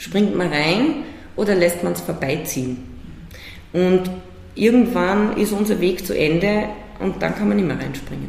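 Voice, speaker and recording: Amid noticeable background noise, the speaker talks at a fairly slow pace with long, frequent pauses. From Salzburg, Austria. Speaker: cultural manager. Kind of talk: interview.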